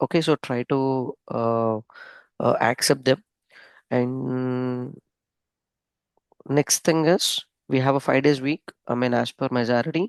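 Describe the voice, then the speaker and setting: The speaker is soft-spoken and talks at a very slow pace with long, frequent pauses. The background is quiet. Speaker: software trainer. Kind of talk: online lecture.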